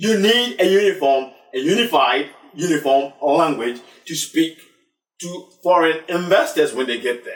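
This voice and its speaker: A man with a Ghanaian accent speaks at a high pitch with lively intonation. His loudness swings widely. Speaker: talk show host. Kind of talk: discussion show. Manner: halting.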